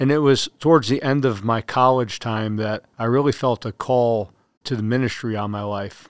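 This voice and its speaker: A man speaks in an ordinary speaking voice at a medium pitch. The sound is dry and close with no echo, a very clean recording with a silent background. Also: fairly even intonation, moderate pace. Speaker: army chaplain. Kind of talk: interview.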